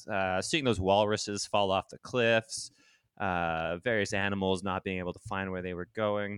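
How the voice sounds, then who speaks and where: In a normal speaking voice, a man talks at a moderate pace with a fairly low pitch and fairly even intonation, the sound dry and close with no echo against a quiet background. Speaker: comedy podcast host. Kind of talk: improvised comedy chat. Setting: remote call recording.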